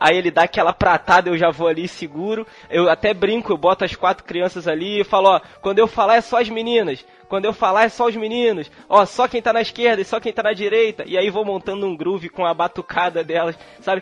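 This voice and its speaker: Noticeable background noise sits behind the speech. Its intonation is fairly even. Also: man, high pitch for a man, fairly quick pace. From Brazil, Petrópolis, Rio de Janeiro state. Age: 30s. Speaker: podcast host and drummer. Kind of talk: casual chat.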